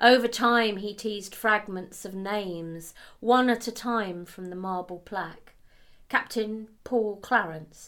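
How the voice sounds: Ordinary pitch variation across a natural reading voice.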